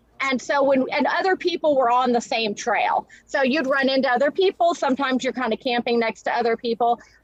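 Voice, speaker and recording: With noticeable background noise but a dry, close sound with no echo, a woman speaks in a high pitch with ordinary pitch variation. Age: 50s. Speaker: inventor and business owner. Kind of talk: live stream interview. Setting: studio.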